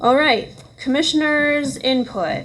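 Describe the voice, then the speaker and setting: A woman speaks at a very slow pace, with audible echo in the room. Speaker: planning commission chair. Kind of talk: public meeting.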